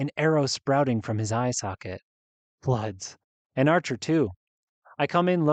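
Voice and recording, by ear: Natural-voiced reading aloud, with a quiet background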